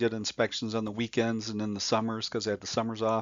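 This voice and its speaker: This is a plain, everyday voice with an American accent. The pace is fairly quick. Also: man. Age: 60s. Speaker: home inspection instructor. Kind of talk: tutorial. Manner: casual, with many fillers.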